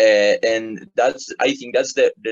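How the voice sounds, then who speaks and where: A fairly slow pace in a Spanish accent. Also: man. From Ecuador. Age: 20s. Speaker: environmental activist. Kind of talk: interview. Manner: halting, many repetitions and fillers.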